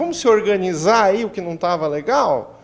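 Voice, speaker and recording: A man with a southern Brazilian accent speaks at a moderate pace over noticeable background noise. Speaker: doctor. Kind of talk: TV interview.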